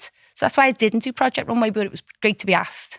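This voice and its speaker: Speaking at a very fast pace with a Liverpool accent, a woman comes through with a dry, close sound and no echo. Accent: Scouse. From Liverpool, England. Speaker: fashion designer. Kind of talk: podcast interview.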